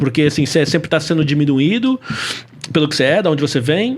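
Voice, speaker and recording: A man speaks with very wide pitch swings. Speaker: podcast host. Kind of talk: podcast interview.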